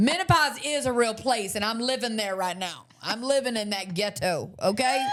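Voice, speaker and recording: A woman speaks at a moderate pace in a fairly high, animated voice with lively intonation. She barely pauses, and noticeable background noise is present. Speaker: podcast co-host. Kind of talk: casual chat.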